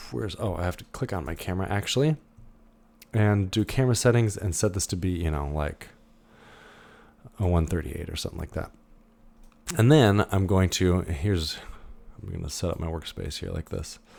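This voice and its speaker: Speaking with a very deep, low pitch, a man moves at a fairly quick pace with ordinary pitch variation and long, frequent pauses. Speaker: 3D animation instructor. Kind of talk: recorded lecture tutorial. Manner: casual, hesitant with many fillers.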